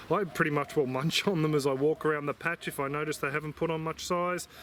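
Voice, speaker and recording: Words tumble out very fast in an Australian accent. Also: man. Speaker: gardening vlogger. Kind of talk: tutorial. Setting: outdoors in garden. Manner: casual, relaxed.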